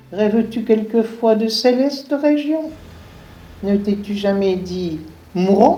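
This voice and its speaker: Over music in the background, a woman talks at a very slow pace with lively intonation. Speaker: voice-over narrator. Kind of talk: read story.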